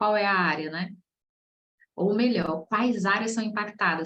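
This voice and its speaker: Speech comes at a moderate pace with a somewhat breathy quality. Audible room echo surrounds it. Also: woman. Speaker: process management specialist teaching a masterclass. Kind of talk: online lecture. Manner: casual, conversational.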